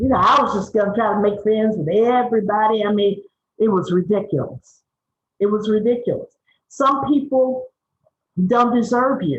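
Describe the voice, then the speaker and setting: At a moderate pace and a fairly high pitch, a woman sounds animated and somewhat breathy, with ordinary pitch variation and long, frequent pauses. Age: 60s. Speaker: media trainer and activist. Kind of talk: webinar talk.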